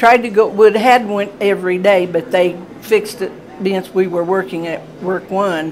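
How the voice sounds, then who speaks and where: Over noticeable background noise, a woman with an American accent talks at a moderate pace. Her pitch is medium and her intonation fairly even. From Indiana. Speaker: retired factory worker. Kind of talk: interview answer.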